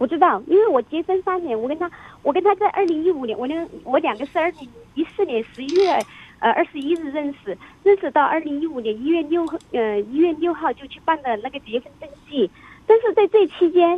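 A woman talks at a fairly quick pace in an extremely high pitch. Her intonation is lively, and her loudness swings widely. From Chongqing, China. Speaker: radio call-in listener. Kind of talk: personal account to an advice host.

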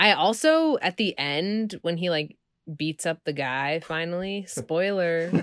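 Recorded very cleanly with a silent background and a dry, close sound with no echo, a woman with an American accent speaks at a fairly slow pace with ordinary pitch variation. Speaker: comedian and director. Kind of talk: casual comedic banter.

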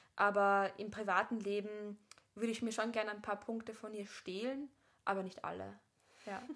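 A woman of medium pitch talks at a moderate pace. Her intonation is monotone and flat, broken by long, frequent pauses. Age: 20s. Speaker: actress and podcast host. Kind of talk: casual chat.

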